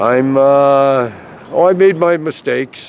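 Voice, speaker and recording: A man with a Canadian accent speaks at a medium pitch and fairly even intonation against noticeable background noise. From Edmonton, Canada. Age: 60s. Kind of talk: street interview, personal story. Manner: halting, repetitive.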